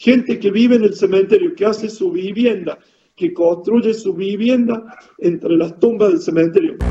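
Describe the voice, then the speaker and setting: A man with a high pitch for a man talks at a moderate pace, his voice making very wide pitch swings. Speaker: world traveler. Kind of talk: interview.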